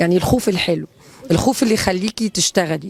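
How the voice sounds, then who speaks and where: Her intonation fairly even, a woman speaks at medium pitch in an Egyptian accent. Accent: speaks Egyptian Arabic well. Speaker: actress. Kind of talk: interview. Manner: hesitant, many fillers.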